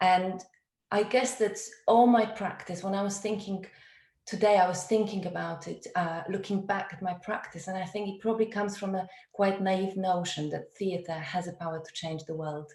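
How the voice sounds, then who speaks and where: A woman with a Polish accent talks at a moderate pace, her intonation fairly even. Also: medium pitch for a woman, big swings in loudness. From Poland. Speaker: theatre director. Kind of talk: webinar talk. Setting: video call.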